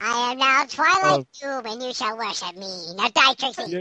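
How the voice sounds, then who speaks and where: Speaking at a moderate pace, a female-sounding voice puts on a high-pitched character voice. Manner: funny, menacing, overdramatic.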